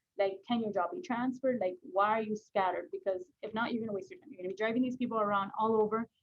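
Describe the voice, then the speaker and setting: Racing at a very fast pace with hardly any pauses, a woman's fairly high voice moves with ordinary pitch variation. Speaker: real estate agent trainer. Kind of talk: training session. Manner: casual, lots of fillers.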